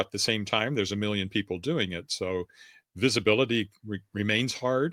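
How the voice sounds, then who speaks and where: With an American accent, a man speaks in a plain, everyday voice at medium pitch and a moderate pace, with ordinary pitch variation and a dry, close sound with no echo. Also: very clean recording, silent background. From US Southwest (New Mexico, Texas). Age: 60s. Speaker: author. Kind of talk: interview.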